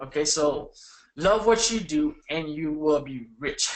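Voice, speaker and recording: A man with a non-native accent, lively intonation and an animated tone. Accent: foreign. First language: not English. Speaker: online marketing coach. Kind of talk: webinar.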